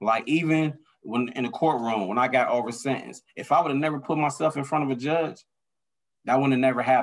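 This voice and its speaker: The speaker is a man with a medium pitch. He goes at a very fast pace with ordinary pitch variation. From US Midwest, Detroit area. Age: 40s. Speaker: former drug dealer in recovery. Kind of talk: testimony.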